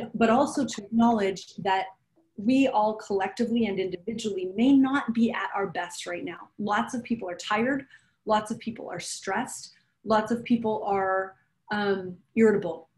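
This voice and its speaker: A woman speaks at a moderate pace in a fairly high pitch with ordinary pitch variation. She has an unremarkable speaking voice. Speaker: strategic planning facilitator. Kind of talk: conversational professional presentation. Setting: council meeting, remote. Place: home room. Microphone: video call.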